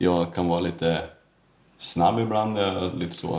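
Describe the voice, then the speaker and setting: A man's very deep, low voice, dark and mellow in tone, with fairly even intonation. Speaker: tile setter. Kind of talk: casual chat. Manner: fast.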